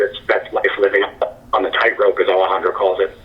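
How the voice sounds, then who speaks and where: Noticeable background noise fills the recording. Through it, a man talks at a fairly quick pace. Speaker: screenwriter and playwright. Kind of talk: interview.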